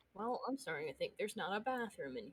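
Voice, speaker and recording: Someone speaks in a put-on character voice with a fairly high pitch at a very fast pace. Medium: actual play. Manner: fussy, old-fashioned exclamations.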